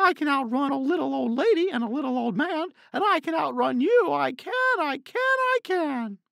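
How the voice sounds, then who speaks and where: A man's put-on character voice, extremely high in pitch, at a moderate pace with hardly any pauses. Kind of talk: children's story narration. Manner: taunting, energetic.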